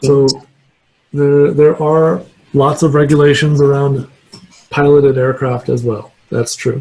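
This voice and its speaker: A man speaks in a dark, mellow, somewhat breathy tone with a fairly high pitch and fairly even intonation. His pace is fairly slow, with long, frequent pauses. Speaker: guest lecturer, remote sensing scientist. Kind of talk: lecture; Q&A answer.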